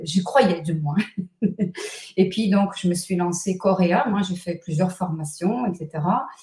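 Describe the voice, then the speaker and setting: Noticeable background noise sits behind a woman who speaks very slowly in a fairly low voice, with ordinary pitch variation and long, frequent pauses. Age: 60s. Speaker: numerologist and author. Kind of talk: interview.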